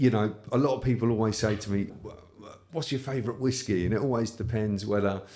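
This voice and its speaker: A man with a British accent, medium-pitched, dark and mellow in tone, at a very fast pace with fairly even intonation and big swings in loudness. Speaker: whisky podcast host. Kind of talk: casual chat.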